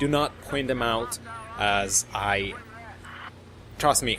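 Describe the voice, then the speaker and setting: A man with a non-native accent, fairly low pitch and fairly even intonation, over noticeable background noise. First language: not English. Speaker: gaming commentator. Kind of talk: gameplay commentary. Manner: halting. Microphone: cheap mic.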